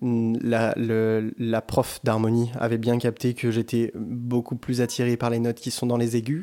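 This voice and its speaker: A man speaks in a dark, mellow tone at a medium pitch, with flat, monotone intonation. The recording is very clean, with a silent background. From France, Bordeaux. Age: 20s. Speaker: singer. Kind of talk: casual chat. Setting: living room with echo.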